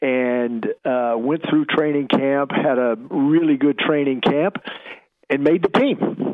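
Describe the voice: A man with an American accent, medium pitch, ordinary pitch variation, and a slow pace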